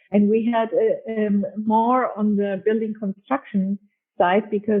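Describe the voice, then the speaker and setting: A woman speaks fairly slowly in a fairly high pitch. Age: 60s. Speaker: architect. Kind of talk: interview. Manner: halting.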